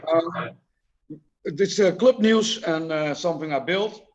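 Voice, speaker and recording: A high-pitched man with a Dutch accent, at a fairly slow pace. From Dutch-speaking region. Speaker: slot car racer. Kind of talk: casual chat. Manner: halting.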